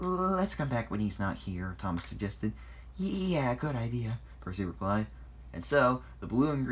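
A natural voice reads the passage aloud.

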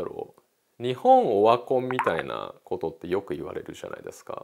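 A man speaks at a moderate pace with big swings in loudness, against noticeable background noise. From Tokyo, Japan. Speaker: painter; interviewee. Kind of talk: interview. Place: studio. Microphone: lapel.

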